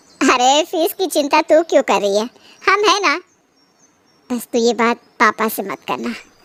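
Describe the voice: A woman puts on a cartoonish character voice, high-pitched with very wide pitch swings, at a moderate pace. Long, frequent pauses break up the speech, and the sound is dry and close with no echo.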